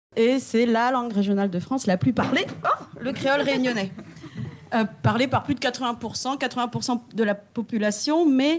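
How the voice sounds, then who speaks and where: Noticeable background noise sits behind a woman speaking at a high pitch with ordinary pitch variation. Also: moderate pace. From Réunion. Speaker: legal scholar. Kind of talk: academic commentary.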